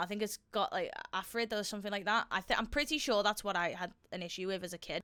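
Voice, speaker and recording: A woman with a Liverpool accent talks at a very fast pace in a fairly high pitch. Her tone is animated, bright and sharp. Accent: Scouse. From Liverpool, Merseyside, England. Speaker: fitness and weight-loss vlogger. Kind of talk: casual video reaction commentary.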